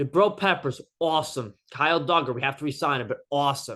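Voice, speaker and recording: The speaker uses lively intonation at a moderate pace against a quiet background. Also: man. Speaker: sports YouTuber. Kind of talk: casual monologue. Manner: halting, many fillers.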